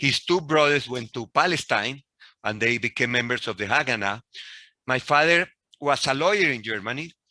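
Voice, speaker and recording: This man speaks with a Spanish accent and a bright, sharp tone. The recording is very clean, with a silent background. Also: medium pitch for a man, lively intonation, moderate pace. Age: 60s. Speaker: professor. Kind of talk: lecture.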